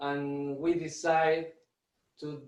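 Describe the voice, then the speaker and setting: The delivery has a very slow pace and fairly even intonation. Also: man. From Argentina. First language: Spanish. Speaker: drummer and music teacher. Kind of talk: online workshop presentation. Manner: halting, with many repetitions and fillers.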